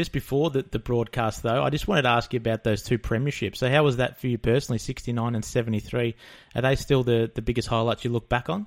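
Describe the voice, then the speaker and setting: On a very clean recording with a silent background, a man with an Australian accent speaks at a fairly quick pace and a medium pitch. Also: ordinary pitch variation. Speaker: podcast host. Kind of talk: casual interview.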